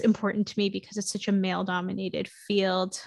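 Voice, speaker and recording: With an American accent, a woman talks at a medium pitch over a quiet background. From New York City, Queens. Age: 30s. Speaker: business coach. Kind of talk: podcast interview.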